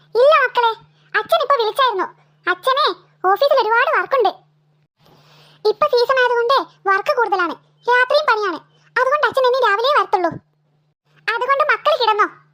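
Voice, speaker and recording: In a cartoonish character voice, a woman speaks with an extremely high, squeaky pitch, ordinary pitch variation, very even loudness and a moderate pace. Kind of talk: comic cartoon family drama. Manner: scolding, exasperated.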